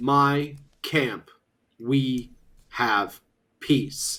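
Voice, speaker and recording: The voice is pitched low to middle and is a put-on character voice. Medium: actual play. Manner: stern, measured, commanding.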